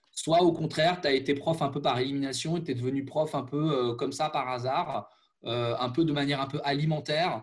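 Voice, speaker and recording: A man with a fairly high pitch and a somewhat breathy voice talks at a fairly quick pace. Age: 30s. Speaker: former teacher. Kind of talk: interview conversation. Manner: halting.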